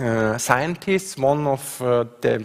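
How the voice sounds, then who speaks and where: A man speaks with an Austrian accent. Noticeable background noise runs behind him. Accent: Austrian (own remark on his dialect). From Austria, Graz. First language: German. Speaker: professor. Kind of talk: conference talk with slides. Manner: hesitant, many fillers.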